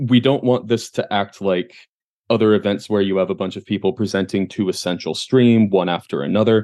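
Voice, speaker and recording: This man's voice has a dark, mellow tone. His pitch sits fairly low. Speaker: podcast host.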